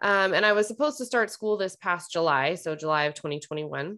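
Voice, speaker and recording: The very clean recording, with a silent background, captures a woman at a fairly low pitch with ordinary pitch variation. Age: 30s. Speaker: podcast host, fertility nutrition practitioner. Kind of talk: casual monologue, personal update.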